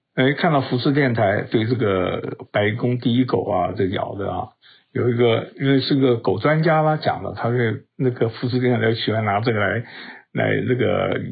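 A man's medium-pitched voice varies in an ordinary way at a moderate pace. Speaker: podcast news commentator. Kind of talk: solo news commentary. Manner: casual, with many fillers and hesitations.

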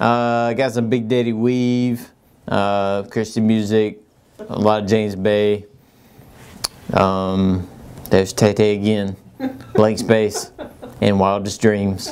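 Fairly low in pitch, a man speaks in a monotone, flat intonation. His pace is very slow, with long, frequent pauses. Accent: American. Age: 30s. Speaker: HVAC company owner answering listener questions. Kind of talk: casual Q&A show.

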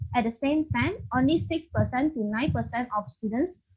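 This woman speaks with a Malaysian accent and a fairly high pitch, with some vocal fry. Her intonation is lively. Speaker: podcast host. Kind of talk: moderated interview. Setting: video call.

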